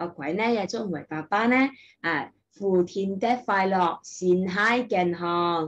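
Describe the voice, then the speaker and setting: A woman speaks with a Taishanese accent. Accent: Taicheng Taishanese. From Taishan, Guangdong, China. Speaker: kindergarten teacher. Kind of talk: casual talk to camera, language-learning content. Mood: warm, friendly. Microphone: webcam.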